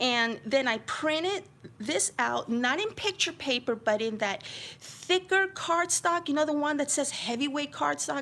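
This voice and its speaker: Animated in tone, a woman with an American accent and a high pitch speaks at a fairly slow pace with very wide pitch swings. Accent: occasional slight New York. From New York City (Queens). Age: 50s. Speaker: crafting YouTuber. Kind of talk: live-stream craft flip-through chat. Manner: chatty, animated.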